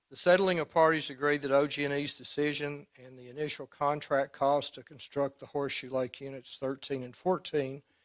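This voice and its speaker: In an Arkansas accent, a man speaks at a moderate pace in a fairly high, monotone voice with flat intonation, the sound dry and close with no echo. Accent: US Southern, Arkansas. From Arkansas Delta. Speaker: attorney for utility company. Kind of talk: formal opening statement at regulatory hearing.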